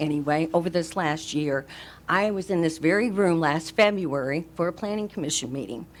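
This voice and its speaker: A woman's unremarkable speaking voice with lively intonation at a moderate pace. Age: 60s. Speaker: resident speaking at public comment. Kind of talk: public comment at county meeting. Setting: county commission meeting room.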